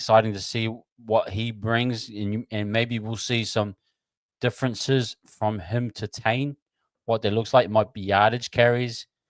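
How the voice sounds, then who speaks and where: Over a very clean, silent background, a man with a New Zealand accent talks at a moderate pace and a fairly low pitch. The sound is dry and close, with no echo. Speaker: sports livestream host. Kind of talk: live watch-along chat. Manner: quieter than usual.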